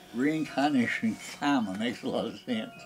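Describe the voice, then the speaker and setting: A man with an American accent at a fairly slow pace, ordinary pitch variation, and music in the background. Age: 90s. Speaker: cabinet maker. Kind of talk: documentary interview answer.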